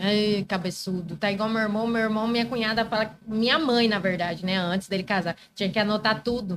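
A woman with an unremarkable speaking voice talks at a fairly quick pace with hardly any pauses, her pitch fairly high, her intonation fairly even and her loudness very even. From Brazil, Mato Grosso (Várzea Grande). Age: 30s. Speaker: lawyer. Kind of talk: casual chat.

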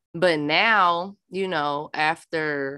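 A woman speaks with an American accent and a very deep, low pitch. Her tone is bright and sharp, and the background is quiet. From Minnesota, US Midwest. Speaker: podcast host. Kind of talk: casual chat. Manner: loud.

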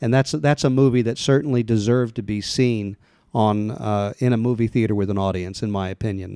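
In a dark, mellow tone, a man with an American accent speaks at a fairly quick pace. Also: medium pitch for a man, ordinary pitch variation, dry, close sound with no echo, very clean recording, silent background. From US Midwest, Kansas City, Missouri. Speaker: movie theater owner. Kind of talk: interview.

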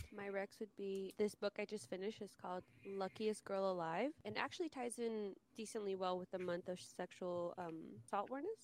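Here is a woman with an unremarkable speaking voice, medium in pitch with ordinary pitch variation. The sound is dry and close, with no echo. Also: fairly quick pace. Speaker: podcast host. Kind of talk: casual chat.

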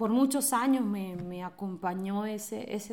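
A woman with a Venezuelan accent talks at a fairly slow pace. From Venezuela, Caracas and Mérida. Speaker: interview guest sharing life story. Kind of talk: personal testimony.

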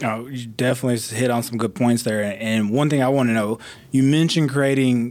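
A man speaks in an ordinary speaking voice at medium pitch, his intonation fairly even. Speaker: guest podcast host, school district communications coordinator. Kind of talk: casual podcast interview.

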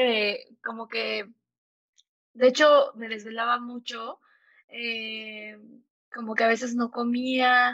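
Here a woman talks at a very slow pace with a fairly high pitch. Her intonation is fairly even and her tone bright and sharp. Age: 30s. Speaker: entrepreneur. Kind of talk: interview.

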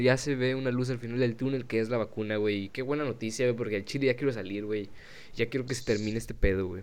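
The pace is very fast. Intonation stays fairly even throughout. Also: man. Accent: Mexican. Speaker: podcast host. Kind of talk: casual chat.

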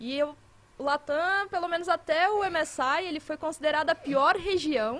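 A woman with an extremely high pitch and ordinary pitch variation speaks at a fairly slow pace. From Minas Gerais, Brazil. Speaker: esports commentator. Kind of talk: casual chat.

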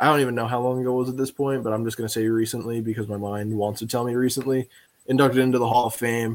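This man talks at a very fast pace and a medium pitch. His intonation is monotone and flat. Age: 20s. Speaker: sports podcast guest co-host. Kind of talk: casual chat. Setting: live stream.

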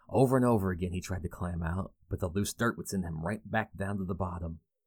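Very deep and low in pitch, a man speaks at a moderate pace with ordinary pitch variation. The recording is very clean, with a silent background. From Kentucky. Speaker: podcast host. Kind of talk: scripted folklore narration. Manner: measured, storytelling.

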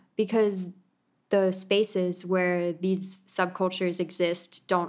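In a very clean recording with a silent background, a woman with an American accent uses an ordinary speaking voice at medium pitch with fairly even intonation. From United States. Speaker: events manager. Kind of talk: casual interview chat.

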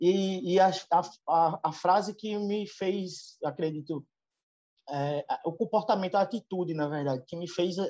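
Speaking with a strong northeastern Brazilian accent, a man has a high pitch, a dark, mellow tone and ordinary pitch variation. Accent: strong drawling northeastern Brazilian. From Northeast Brazil (Alagoas). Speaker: veterinarian, livestock consultant. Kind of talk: interview. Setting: video call. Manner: hesitant, many filler repetitions.

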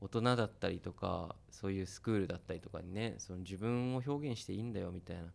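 A very fast pace with hardly any pauses and ordinary pitch variation. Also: man, fairly low pitch for a man. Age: 30s. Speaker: musician and radio host. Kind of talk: casual interview chat.

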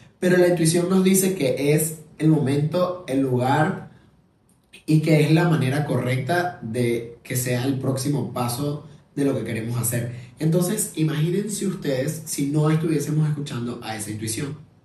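Amid noticeable background noise and audible room echo, a man talks at a fairly slow pace with a fairly high pitch and ordinary pitch variation. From Venezuela. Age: 20s. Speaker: podcast host. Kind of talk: casual monologue. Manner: halting.

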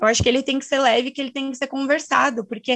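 Against a quiet background, a woman speaks at a high pitch. Her intonation stays fairly even. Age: 20s. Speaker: student. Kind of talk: casual chat.

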